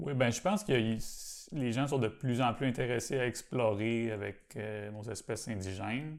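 Medium-pitched man with an unremarkable speaking voice, ordinary pitch variation and a moderate pace, on a very clean recording with a silent background. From Quebec, south shore of Montreal. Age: 40s. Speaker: botanical garden bonsai curator. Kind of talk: casual interview.

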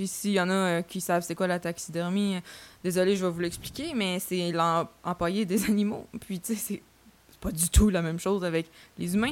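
In a Quebec accent, a woman speaks at a moderate pace and medium pitch with fairly even intonation on a very clean recording with a silent background. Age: 20s. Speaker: podcast host and funeral professional. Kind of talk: casual chat.

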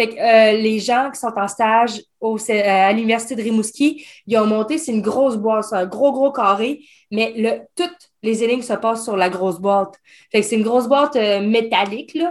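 A woman's fairly high voice in a Quebec accent, at a moderate pace with ordinary pitch variation over a quiet background. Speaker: escape game designer. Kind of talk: casual chat. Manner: talkative.

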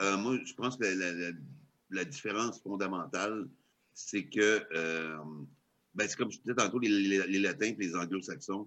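Pausing long and often, a man with a fairly low pitch speaks at a fairly slow pace with ordinary pitch variation. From Quebec, small village. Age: 50s. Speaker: stand-up comedian and comedy writer. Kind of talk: casual interview chat.

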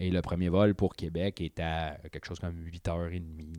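Recorded very cleanly with a silent background, a man speaks in a dark, mellow tone. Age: 20s. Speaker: media entrepreneur. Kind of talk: casual chat. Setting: studio.

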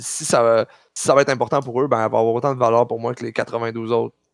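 At a fairly quick pace, a man talks in a medium pitch, recorded very cleanly with a silent background and a dry, close sound with no echo. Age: 20s. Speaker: improviser. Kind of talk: casual chat.

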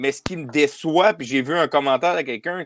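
A man's normal speaking voice, at a moderate pace with ordinary pitch variation, in a dry, close sound with no echo and a very clean recording over a silent background. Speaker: hockey podcast co-host. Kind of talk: casual chat.

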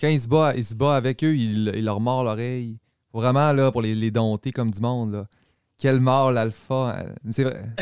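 Using an ordinary speaking voice, a man talks at a fairly slow pace and medium pitch with fairly even intonation. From Quebec, Saguenay–Lac-Saint-Jean. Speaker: podcast host. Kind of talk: casual interview. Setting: studio.

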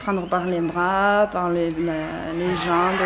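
At a very slow pace, a woman with a medium-pitched voice speaks amid noticeable background noise and audible room echo. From Catalonia, Barcelona. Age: 30s. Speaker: protester and witness. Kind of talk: testimony. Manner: halting.

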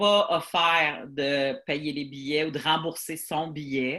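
In a very deep, low voice with a bright, sharp tone, a woman talks at a very slow pace with ordinary pitch variation. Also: quiet background. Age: 40s. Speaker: comedian. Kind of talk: casual chat. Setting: video call.

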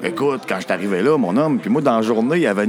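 Very wide pitch swings mark this man's speech, delivered very fast in a Quebec accent. Crowd noise fills the background. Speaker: musician in a band. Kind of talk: casual chat.

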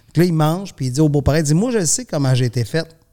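A man with a Quebec accent talks at a fairly quick pace, his dark, mellow tone carrying lively intonation. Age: 50s. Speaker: artist manager. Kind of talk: casual chat.

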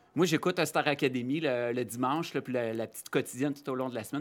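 The recording is very clean, with a silent background. A man talks very fast at a medium pitch, his pitch varying in an ordinary way. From Quebec, Abitibi (Rouyn-Noranda area). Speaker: children's TV host and psychoeducator. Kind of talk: casual interview.

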